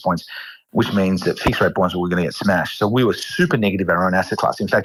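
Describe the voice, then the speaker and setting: Here a man talks at a very fast pace in a fairly low pitch. His pitch variation is ordinary. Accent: Australian. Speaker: fund manager. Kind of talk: interview.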